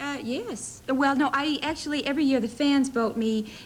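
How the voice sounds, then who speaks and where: With a slight Southern US accent, the speaker talks at a moderate pace with ordinary pitch variation over noticeable background noise. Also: woman. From US South, Middle Tennessee near Nashville. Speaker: soap opera actress. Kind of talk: talk show interview. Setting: TV studio with audience.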